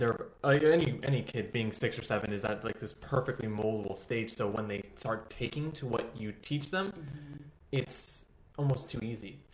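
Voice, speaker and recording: In an American accent, a man talks at a moderate pace and medium pitch, somewhat breathy, with ordinary pitch variation. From Texas. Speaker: dance teacher. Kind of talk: casual chat. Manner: animated.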